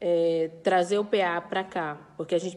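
Delivered in a normal speaking voice, the intonation stays fairly even. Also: woman. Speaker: farmers' movement leader. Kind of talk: recorded interview statement.

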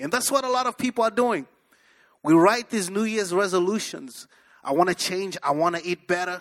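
On a very clean recording with a silent background, a man speaks at a high pitch in a bright, sharp, animated tone with lively intonation. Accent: African. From Africa. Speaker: pastor. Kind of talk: sermon. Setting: church with congregation.

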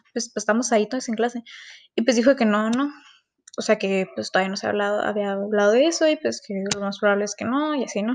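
A woman talks at a very fast pace. Her voice is fairly high in pitch with ordinary variation. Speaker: student podcaster. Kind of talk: personal monologue podcast.

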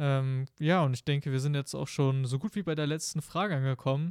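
On a very clean recording with a silent background, a man with a fairly high pitch speaks at a fairly quick pace and fairly even intonation, dry and close with no echo. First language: Spanish as second native language (speaking German). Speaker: podcast host. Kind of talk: casual interview.

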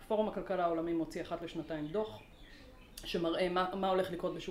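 A woman speaks with ordinary pitch variation. Audible room echo and noticeable background noise fill the recording. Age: 40s. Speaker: organizational learning consultant. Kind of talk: interview. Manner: animated.

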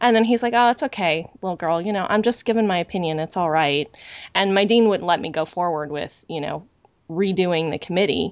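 A woman talks in an unremarkable speaking voice at a fairly low pitch. Her pace is fairly quick and her pitch varies in an ordinary way. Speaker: podcast host. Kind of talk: casual podcast discussion.

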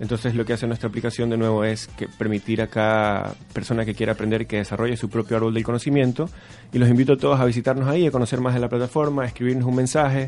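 Over music in the background, a man at a medium pitch talks very fast with fairly even intonation. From Ecuador, Guayaquil. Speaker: edtech startup founder. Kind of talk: radio interview.

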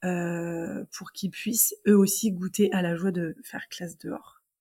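A woman speaks at a very slow pace, somewhat breathy. Her intonation is fairly even. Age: 30s. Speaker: teacher. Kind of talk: casual chat. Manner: halting.

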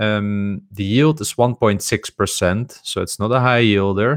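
A man speaks in a Continental European accent at a moderate pace, with a fairly low pitch and fairly even intonation. The sound is dry and close with no echo, and the recording is very clean with a silent background. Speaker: podcast co-host. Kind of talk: casual chat about investing. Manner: halting, hesitant with filler words.

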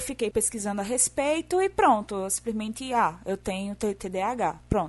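Against a quiet background, a woman with a southern Brazilian accent speaks at a fairly slow pace and a fairly high pitch. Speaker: podcast guest.

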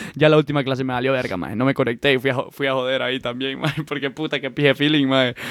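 Over noticeable background noise, a man at medium pitch speaks at a very fast pace with hardly any pauses. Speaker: podcast co-host. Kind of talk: casual chat. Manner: animated.

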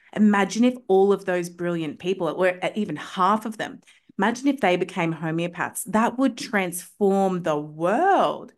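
The speaker talks at a moderate pace in an animated tone with ordinary pitch variation. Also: woman, medium pitch for a woman. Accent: Australian. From Australia. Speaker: homeopath. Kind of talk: casual chat.

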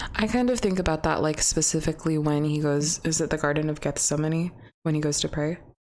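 Delivered at a very fast pace in a Pacific Northwest accent, the speech keeps very even loudness and ordinary pitch variation. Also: woman, very deep, low pitch for a woman. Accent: Pacific Northwest American. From US Pacific Northwest. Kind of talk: casual chat. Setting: recording studio with mics.

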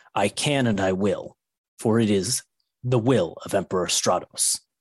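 A man puts on a raspy character voice at medium pitch, speaking at a moderate pace with ordinary pitch variation and very even loudness. The recording is very clean, with a silent background and a dry, close sound with no echo. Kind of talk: formal, archaic. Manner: commanding, imperious.

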